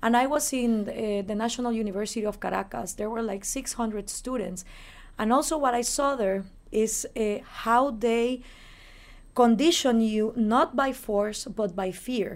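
A woman talks with a Spanish accent. Her pitch is fairly high and varies in an ordinary way. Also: moderate pace. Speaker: libertarian activist and radio host. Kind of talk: interview. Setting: in person in New York.

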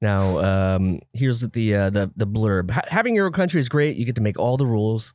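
A man with an unremarkable speaking voice talks at a fairly quick pace in a medium pitch, his intonation lively and his loudness very even, on a very clean recording with a silent background. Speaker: podcast co-host. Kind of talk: casual comedic chat.

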